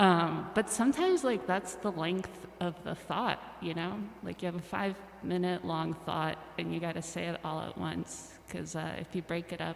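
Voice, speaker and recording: A woman speaks at a moderate pace in a fairly low pitch, with noticeable background noise. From Russia, moved to US at age ten. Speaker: musician. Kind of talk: casual chat.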